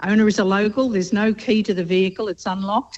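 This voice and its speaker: Fairly even intonation from a woman with an Australian accent. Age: 70s. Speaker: radio caller. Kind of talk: call-in question.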